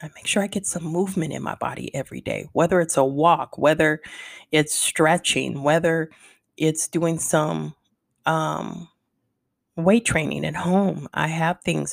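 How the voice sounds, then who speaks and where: A woman speaks at a very deep, low pitch with vocal fry and fairly even intonation. Her pace is fairly slow, and the sound is dry and close with no echo. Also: very clean recording, silent background. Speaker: wellness podcast host. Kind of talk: solo podcast monologue. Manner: slower than usual.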